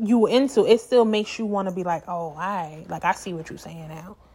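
A woman with an American accent, an animated tone, lively intonation and a moderate pace. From Brooklyn, New York, Jamaican family. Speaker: podcast host. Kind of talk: casual solo monologue.

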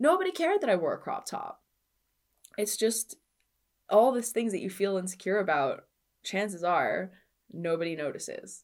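A woman speaks in an animated tone at a moderate pace, leaving long, frequent pauses. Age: 30s. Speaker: personal trainer and podcast host. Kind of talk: solo podcast monologue.

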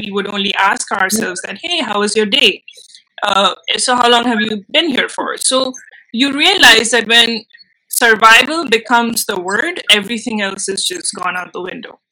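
A woman's voice in an Indian accent, with lively intonation, a moderate pace and big swings in loudness. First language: Bengali. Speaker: filmmaker and actress. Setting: video call.

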